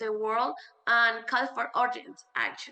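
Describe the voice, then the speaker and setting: A woman's bright, sharp tone, high in pitch, at a very slow pace with fairly even intonation. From Venezuela. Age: 20s. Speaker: youth activist. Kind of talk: conference presentation. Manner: halting, with fillers.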